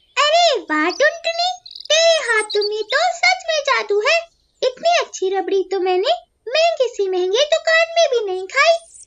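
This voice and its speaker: A cartoonish character voice moves at a fairly slow pace. Its pitch swings very widely. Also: woman, extremely high pitch for a woman. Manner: haughty, condescending.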